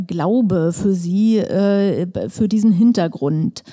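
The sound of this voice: Using a dark, mellow tone, a woman talks at a slow pace at a medium pitch with ordinary pitch variation.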